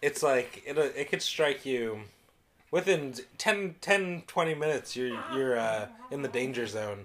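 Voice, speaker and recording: This man's voice sits fairly high in pitch. His intonation is lively, and there is noticeable background noise. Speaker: podcast co-host.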